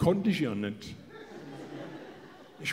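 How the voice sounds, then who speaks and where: Over light background noise, a man with a fairly high voice speaks at a fairly slow pace. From Hesse, Germany. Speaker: comedian. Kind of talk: motivational stage talk. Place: stage. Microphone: handheld.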